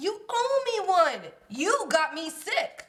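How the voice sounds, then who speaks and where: In a put-on character voice, a woman speaks very slowly at an extremely high pitch with very wide pitch swings. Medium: comedy sketch. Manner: whiny.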